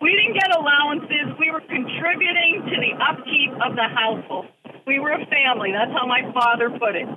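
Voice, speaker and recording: Noticeable background noise sits behind a woman speaking at a fairly quick pace. Her pitch is high and her intonation lively. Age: 60s. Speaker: caller, former business owner. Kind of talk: radio call-in. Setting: phone call from a car. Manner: animated.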